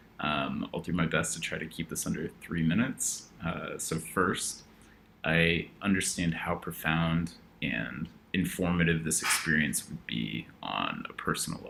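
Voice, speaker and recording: A man with an American accent talks at a fairly slow pace in a very deep, low pitch with ordinary pitch variation. His tone is bright and sharp, with vocal fry. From US Pacific Northwest, Portland, Oregon. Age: 20s. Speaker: marketing executive applicant. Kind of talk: application video pitch.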